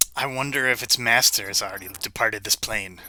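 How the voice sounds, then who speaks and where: A man rattles along very fast in a put-on character voice at a medium pitch. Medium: actual play.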